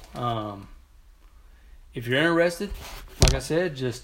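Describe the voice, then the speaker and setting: A man with an American accent speaks at a fairly slow pace, with long, frequent pauses, lively intonation and big swings in loudness. Audible room echo and noticeable background noise are in the recording. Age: 40s. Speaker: softball league organizer and podcast host. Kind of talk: casual solo podcast monologue. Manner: halting, with fillers and repeated words.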